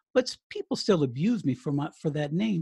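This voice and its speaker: A man talks at a moderate pace in a fairly high voice with lively intonation. The sound is dry and close with no echo, over a quiet background. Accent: American. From Colorado. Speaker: retired radio DJ and author. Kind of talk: interview. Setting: remote call. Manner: halting.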